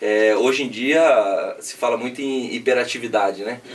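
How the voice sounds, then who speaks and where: A man talks with an interior São Paulo accent. Noticeable background noise runs behind him. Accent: Brazilian São Paulo interior accent (caipira). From interior of São Paulo state (Piraju, near Paraná). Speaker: businessman. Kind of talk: podcast interview. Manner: casual, filler-heavy.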